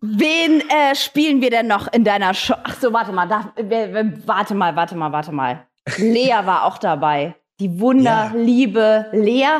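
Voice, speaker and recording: The delivery is animated, with very wide pitch swings. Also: woman, fairly high pitch for a woman, fairly slow pace. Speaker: podcast host. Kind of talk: casual interview. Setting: video call.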